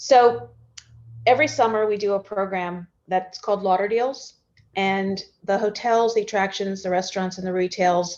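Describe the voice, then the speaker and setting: Medium pitch and ordinary pitch variation in a woman's speech. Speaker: tourism bureau executive. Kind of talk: panel interview. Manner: fast.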